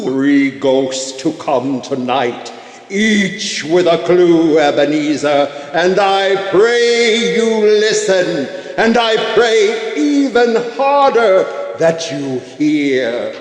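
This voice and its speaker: A man with a high pitch uses a put-on character voice, talking at a very slow pace with clear echo around him. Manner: solemn, grave.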